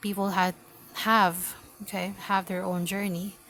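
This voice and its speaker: A woman in a Filipino accent talks at medium pitch and a fairly slow pace with monotone, flat intonation. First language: Filipino language. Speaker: tarot reader. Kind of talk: tarot reading. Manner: halting.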